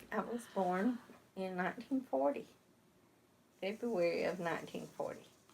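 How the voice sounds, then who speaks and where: Speaking with an Alabama accent at a moderate pace, a woman uses a medium pitch and lively intonation, broken by long, frequent pauses. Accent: Southern US, Alabama. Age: 70s. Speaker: local resident. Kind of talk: interview.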